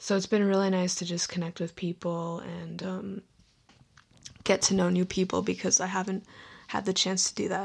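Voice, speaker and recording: A woman in a monotone, flat intonation, on a very clean recording with a silent background. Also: medium pitch for a woman, moderate pace. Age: 20s. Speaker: solo podcaster. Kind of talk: casual monologue. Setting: home bedroom.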